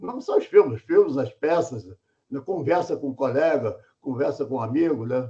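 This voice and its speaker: A man's somewhat breathy, fairly high-pitched voice, with lively intonation and a moderate pace. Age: 80s+. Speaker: film course instructor and screenwriter. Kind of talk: course introduction talk. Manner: casual, repetitive with many fillers.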